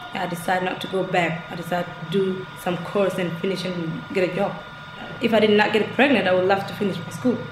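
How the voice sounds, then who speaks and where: A woman at a medium pitch and fairly quick pace, with fairly even intonation, noticeable background noise and audible room echo. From Egypt. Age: 20s. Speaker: student. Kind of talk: interview.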